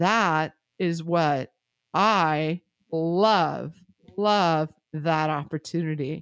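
In a very clean recording with a silent background and a dry, close sound with no echo, a woman speaks in an animated tone. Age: 40s. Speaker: real estate podcast host. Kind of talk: casual chat.

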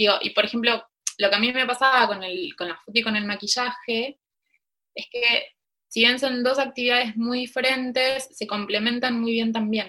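A woman speaks in a high voice with a bright, sharp tone. Her intonation stays fairly even. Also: moderate pace. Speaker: embroiderer and teacher. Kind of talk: interview.

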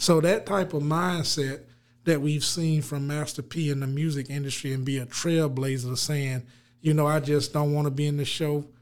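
A man with a Southern US accent, a fairly high pitch, fairly even intonation, and a moderate pace. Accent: Southern US, noticeable. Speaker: financial advisor and CPA. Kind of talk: casual chat, podcast conversation. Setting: remote location, recorded on a mic.

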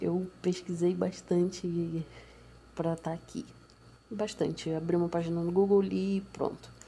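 A woman speaks at a moderate pace with a somewhat breathy, dark, mellow tone. Her intonation is monotone and flat, broken by long, frequent pauses. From Brazil, Nova Iguaçu, Baixada Fluminense (Rio de Janeiro). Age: young. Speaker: podcaster. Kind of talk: personal monologue. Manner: casual, hesitant.

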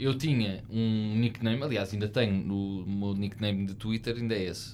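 A man talks at a fairly slow pace with hardly any pauses, his pitch fairly low and his intonation fairly even. Audible room echo surrounds his voice. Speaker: podcast host. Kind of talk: casual chat.

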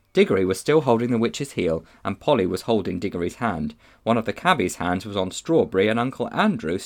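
The voice heard here is a natural reading voice.

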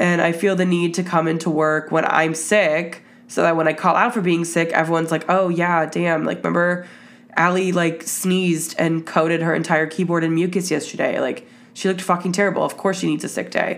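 A woman speaks in a fairly low, wheezy voice. Her loudness stays very even, with monotone, flat intonation. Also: fairly quick pace. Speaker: podcast host. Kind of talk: casual solo monologue. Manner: sniffly, wheezing.

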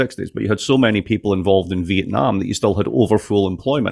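A very fast man's voice, fairly low in pitch, with vocal fry, ordinary pitch variation and an American accent. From Scotland, Dundee. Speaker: professor of political economy. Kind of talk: casual interview chat.

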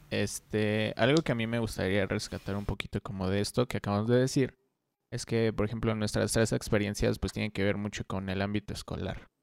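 A man with a plain, everyday voice at a fairly quick pace and fairly low pitch, fairly even in intonation, on a very clean, dry, close recording with a silent background and no echo. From Mexico, San Luis Potosí. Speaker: photographer and music video director. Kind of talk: casual chat.

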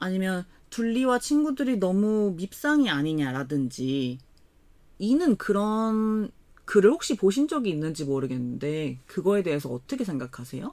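A very clean recording with a silent background captures fairly slow speech. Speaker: podcast co-host. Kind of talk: casual chat.

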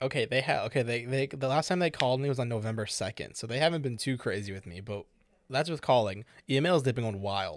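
In a very clean recording with a silent background, a man with an American accent talks at a very fast pace, with medium pitch and ordinary pitch variation. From Chicago. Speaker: podcast co-host. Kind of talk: casual chat. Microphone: new microphone.

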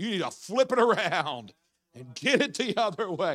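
A man's raised, projected voice, bright and sharp in tone, with lively intonation at a moderate pace. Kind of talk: sermon. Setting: church evening service, holding a microphone. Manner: animated, talks with his hands; fervent, preaching in full flow.

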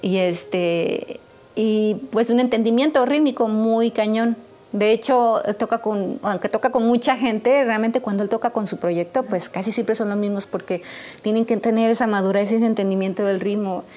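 A woman with a plain, everyday voice talks at a moderate pace, her fairly high pitch showing ordinary variation. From Mexico, San Luis Potosí. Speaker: jazz drummer and singer. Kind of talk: interview.

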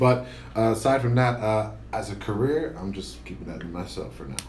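Noticeable background noise and audible room echo surround this man as he talks. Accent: American. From Tampa, Florida. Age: 20s. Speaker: podcast co-host. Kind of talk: casual chat.

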